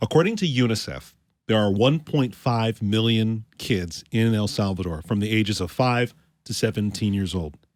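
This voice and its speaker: A man speaks at a moderate pace with lively intonation, in a very clean recording with a silent background. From Canada. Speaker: podcast co-host. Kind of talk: podcast interview.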